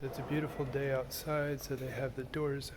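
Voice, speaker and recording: A man's monotone, flat delivery, with noticeable background noise and audible room echo. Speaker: church video host touring a cathedral. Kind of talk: video tour narration. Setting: inside a cathedral, filming on site. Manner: casual, with fillers; quiet.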